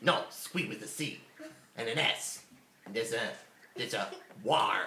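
A put-on character voice sits at a low-to-middle pitch and moves at a fairly slow pace. The sound carries an audible echo. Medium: actual play. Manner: simple, broken speech.

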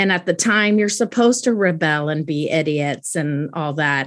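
In a very clean recording with a silent background, a woman talks in a plain, everyday voice at a fairly slow pace with ordinary pitch variation. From US military bases, moved often (US states, Germany, Italy). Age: 40s. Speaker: daughter of a military officer, podcast guest. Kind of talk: casual interview.

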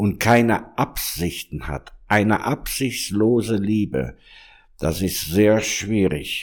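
A man speaks very slowly in a fairly low voice. His pitch varies in an ordinary way. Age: 60s. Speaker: monk and pastoral worker. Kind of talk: interview conversation. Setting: room in a monastery.

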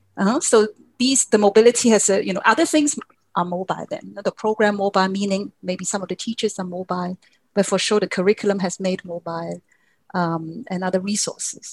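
A somewhat breathy woman speaks at a fairly quick pace with ordinary pitch variation, in a dry, close sound with no echo. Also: medium pitch for a woman. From Hong Kong. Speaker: geography professor. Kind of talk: interview.

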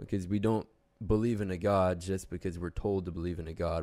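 The recording is very clean, with a silent background. A man speaks with a very deep, low pitch and a dark, mellow tone. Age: young. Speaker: bible student. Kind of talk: casual faith discussion. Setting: studio, face to face.

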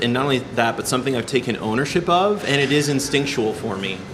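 The speaker is a man with an American accent. Noticeable noise sits in the background. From Iowa (Ames). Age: 30s. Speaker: musician. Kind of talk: casual chat. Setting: coffee shop.

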